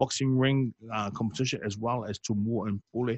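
Here a man speaks in a somewhat breathy voice. The sound is dry, with no echo, over a quiet background. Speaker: radio sports show host. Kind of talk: casual interview. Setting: radio studio. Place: studio. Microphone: studio mic.

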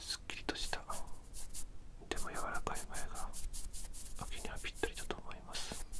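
A woman talks at a moderate pace, pausing often and for long stretches. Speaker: ASMR creator doing makeup roleplay. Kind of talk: ASMR makeup tutorial. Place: home room. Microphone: studio mic.

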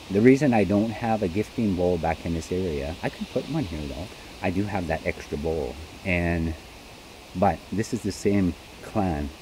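Over light background noise, a man speaks with a very deep, low pitch. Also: ordinary pitch variation, moderate pace, dry sound with no echo. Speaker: outdoor vlogger. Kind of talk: casual vlog chat. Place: forest. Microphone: handheld.

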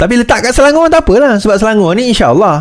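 Here a man is speaking. His pace is very fast. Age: 40s. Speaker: political commentator. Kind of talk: political commentary monologue.

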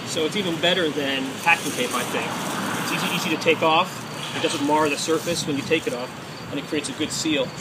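A man talks at a fairly quick pace and a fairly high pitch, with ordinary pitch variation. Background noise is clearly present.

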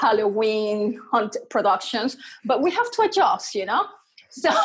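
A woman talks fairly slowly, her intonation lively, with little sound behind her. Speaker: interview guest. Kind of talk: interview answer. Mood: cheerful, animated. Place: home room. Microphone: earbuds.

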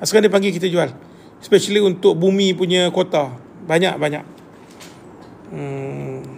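With a Malaysian accent, a man speaks at a high pitch and a moderate pace, taking long, frequent pauses over light background noise. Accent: Malaysian Malay. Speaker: property agent and mentor. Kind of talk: live stream chat with viewers. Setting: live video stream. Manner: animated, chatty. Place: home room. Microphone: phone near.

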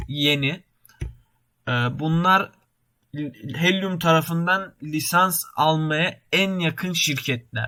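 A man speaks very slowly in a fairly high pitch, his tone bright and sharp, with ordinary pitch variation. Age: 20s. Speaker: YouTuber, computer engineering student. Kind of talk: tutorial. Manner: halting, many filler sounds.

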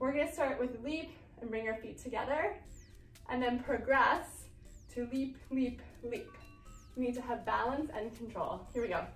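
High-pitched woman's voice at a moderate pace with ordinary pitch variation and long, frequent pauses, plus audible room echo and faint music in the background. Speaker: movement teacher. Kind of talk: exercise instruction. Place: classroom. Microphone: camera far.

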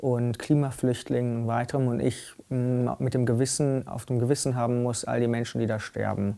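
This man's voice has a dark, mellow tone and a monotone, flat intonation. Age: young. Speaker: student and climate activist. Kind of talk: testimony. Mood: earnest, grave. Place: empty room.

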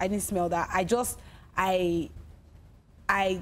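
A woman with a Nigerian accent and vocal fry, light background noise behind her. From Nigeria, Delta State. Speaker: singer, talent show winner; talk show guest. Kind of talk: casual interview. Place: studio.

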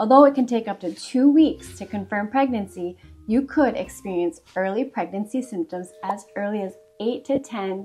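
Against faint background music, a woman speaks at a moderate pace with big swings in loudness. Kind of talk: educational explainer. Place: home room.

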